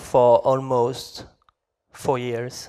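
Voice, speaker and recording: A man speaks with a French accent. His pace is very slow. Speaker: game developer. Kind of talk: conference talk. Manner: halting.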